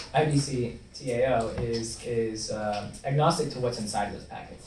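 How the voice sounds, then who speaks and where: With an American accent, a medium-pitched man speaks amid noticeable background noise and audible room echo. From US South, Louisville, Kentucky. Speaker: blockchain developer relations lecturer. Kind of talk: lecture. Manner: fast.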